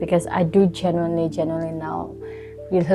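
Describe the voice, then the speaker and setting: A woman's fairly low voice at a moderate pace, ordinary pitch variation, music in the background. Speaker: beauty content creator. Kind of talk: casual talk to camera.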